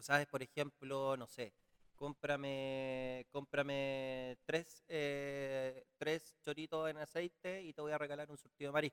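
With a Chilean accent, the speaker goes at a very slow pace in a monotone, flat intonation, with big swings in loudness and a dry, close sound with no echo. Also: man, fairly high pitch for a man. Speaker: podcast host. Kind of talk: casual interview.

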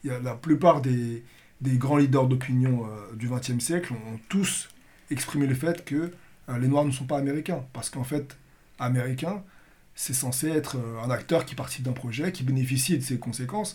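A somewhat breathy man at a moderate pace, with ordinary pitch variation. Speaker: podcast host and moderator. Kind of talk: political roundtable discussion.

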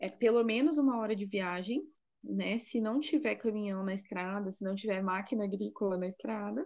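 Against a quiet background, a woman speaks. Her pitch is medium, with ordinary variation. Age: 30s. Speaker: psychologist and mother of seven. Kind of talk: casual chat. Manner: halting.

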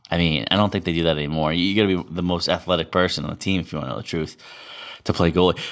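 The speaker has a Boston accent and talks at a very fast pace. Their intonation stays fairly even. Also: man, very deep, low pitch for a man, very clean recording, silent background. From Massachusetts, Boston area. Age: 30s. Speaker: podcaster and amateur hockey player. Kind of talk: casual monologue.

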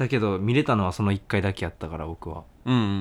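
In a very clean recording with a silent background, a man speaks in an unremarkable speaking voice. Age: 20s. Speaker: band vocalist and guitarist, podcast co-host. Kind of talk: casual chat.

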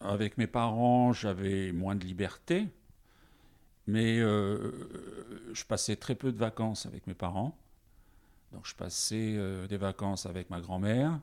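The recording is very clean, with a silent background. A man speaks very slowly in a fairly low pitch with ordinary pitch variation and long, frequent pauses. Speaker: teacher and storyteller. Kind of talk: interview. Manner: varied intonation.

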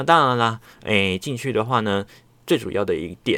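A man's relaxed voice at a moderate pace, on a very clean recording with a silent background. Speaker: solo podcast host. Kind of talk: casual chat. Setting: home recording. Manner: relaxed, chatty with many fillers.

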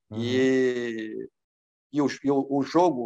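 The background is quiet, and the sound is dry and close with no echo. A man talks at a medium pitch. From Brazil, Pernambuco. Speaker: former footballer and coach. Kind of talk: interview. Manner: halting, many fillers.

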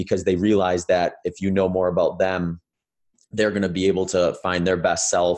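Against a quiet background, a man with an American accent speaks at a fairly quick pace in a very deep, low voice with monotone, flat intonation. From US Midwest, Wisconsin. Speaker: ultramarathon runner and endurance coach. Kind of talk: interview conversation. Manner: casual with frequent fillers.

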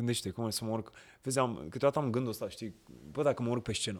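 Pitch variation from the man is ordinary. The background is silent on a very clean recording. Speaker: actor. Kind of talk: casual chat. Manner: animated.

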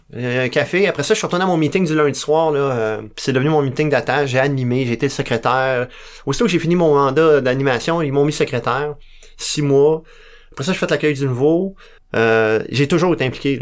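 In a Quebec accent, a man talks fairly quickly at a fairly high pitch, with ordinary pitch variation. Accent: Québécois French. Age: 40s. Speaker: recovering alcoholic sharing his story. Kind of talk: testimony. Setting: radio studio. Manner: halting.

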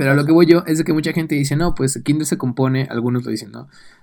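This speech moves fairly quickly. Its pitch shifts in an ordinary way. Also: man. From Mexico City area. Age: 20s. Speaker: podcast co-host. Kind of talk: casual chat.

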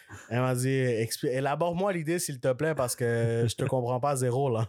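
Someone with a Quebec accent talks at a fairly quick pace on a very clean recording with a silent background. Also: man. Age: 20s. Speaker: content creator. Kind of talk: casual chat.

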